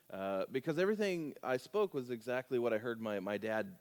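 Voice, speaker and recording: A man speaks at a fairly quick pace. His pitch shows ordinary variation. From US South, Louisiana. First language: American Sign Language. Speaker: guest preacher. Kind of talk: sermon.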